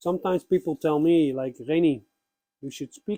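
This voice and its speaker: A man speaks quietly at a fairly slow pace, with a fairly high pitch, ordinary pitch variation and a dark, mellow tone, in a dry, close sound with no echo. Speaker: pagan YouTuber. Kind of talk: spiritual talk. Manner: slow, with pauses.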